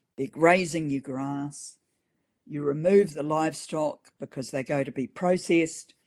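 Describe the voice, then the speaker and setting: A woman with a New Zealand accent and a very deep, low pitch speaks at a fairly slow pace. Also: fairly even intonation. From New Zealand, Auckland. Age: 60s. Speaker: farmer. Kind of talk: interview. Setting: podcast interview.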